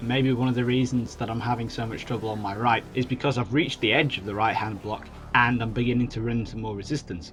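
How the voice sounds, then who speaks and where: A man at medium pitch talks at a very fast pace with hardly any pauses and fairly even intonation, over music in the background. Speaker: gaming commentator. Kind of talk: video game let's play commentary. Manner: monotone.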